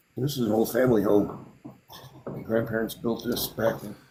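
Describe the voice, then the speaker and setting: At a fairly quick pace, a man speaks in a somewhat breathy voice with a dark, mellow tone. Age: 60s. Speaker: artist and builder. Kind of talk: casual chat.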